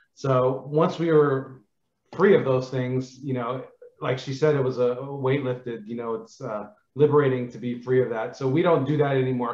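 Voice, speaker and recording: A man talks at a fairly quick pace with fairly even intonation. Audible room echo surrounds him against a quiet background. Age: 40s. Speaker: air force veteran; podcast guest. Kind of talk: interview. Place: home room. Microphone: video call.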